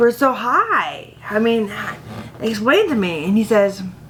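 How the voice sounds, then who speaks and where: Noticeable background noise behind a woman's fairly high-pitched speech. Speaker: head injury survivor. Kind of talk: testimony.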